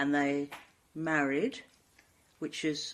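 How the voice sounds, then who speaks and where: A woman with a London accent speaks in a very deep, low voice. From London, Brixton. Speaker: former council leader and equalities consultant. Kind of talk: oral history interview.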